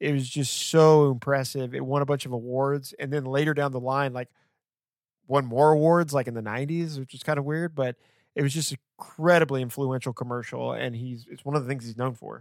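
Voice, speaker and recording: A man's plain, everyday voice at medium pitch, fairly quick and fairly even in intonation, with big swings in loudness, on a very clean recording with a silent background. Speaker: podcast host. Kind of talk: casual chat.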